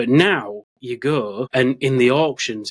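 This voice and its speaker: With a British accent, a man speaks at a medium pitch in a dry, close sound with no echo. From Britain. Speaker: podcast host. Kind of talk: casual chat.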